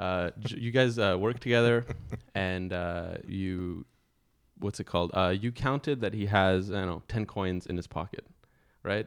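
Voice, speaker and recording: Recorded very cleanly against a silent background, a man with a very deep, low pitch talks at a moderate pace with ordinary pitch variation. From Greek background. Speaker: philosopher. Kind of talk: casual chat. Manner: laid back. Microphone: new audio equipment.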